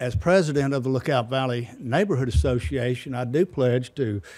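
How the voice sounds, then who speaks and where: In a Tennessee accent, a man speaks at medium pitch with a dark, mellow tone. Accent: Southern US (Tennessee). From US South. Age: 60s. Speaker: neighborhood association president. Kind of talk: public comment at council meeting. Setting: city council chamber.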